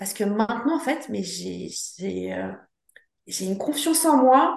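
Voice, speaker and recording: A woman speaks with vocal fry. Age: 50s. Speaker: travel planner. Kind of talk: interview. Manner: halting.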